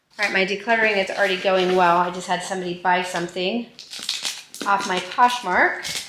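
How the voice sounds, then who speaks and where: A woman speaking fairly quickly in a flat monotone, with audible room echo and noticeable background noise. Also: medium pitch for a woman. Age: 50s. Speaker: homemaking vlogger, goat farmer and thrift reseller. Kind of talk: casual vlog narration. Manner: occasionally loud, yelling to sister on phone.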